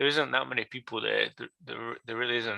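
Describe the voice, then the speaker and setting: Vocal fry runs through a bright, sharp tone with fairly even intonation, recorded dry and close with no echo on a very clean recording with a silent background. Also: man. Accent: English. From England. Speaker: card gaming business guest. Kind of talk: casual chat. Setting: live stream.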